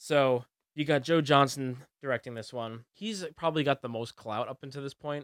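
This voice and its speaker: A man's fairly high-pitched, a plain, everyday voice at a moderate pace, with ordinary pitch variation, big swings in loudness, and a dry, close sound with no echo. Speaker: podcast co-host. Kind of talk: casual chat. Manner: laughs often.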